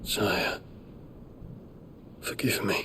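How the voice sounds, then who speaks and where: Someone whispers in a put-on character voice. Clear background noise can be heard. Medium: video game.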